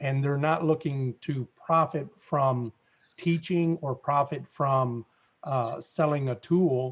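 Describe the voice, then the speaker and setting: A man with an American accent, fairly high-pitched and somewhat breathy, at a very slow pace with fairly even intonation, against a quiet background. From US South. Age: 60s. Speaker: apartment investor network founder. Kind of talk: interview.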